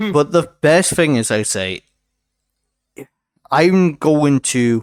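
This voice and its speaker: Lively intonation marks this voice with a Welsh accent, heard with a dry, close sound and no echo. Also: man. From Wales. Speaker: podcast host and streamer. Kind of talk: casual chat.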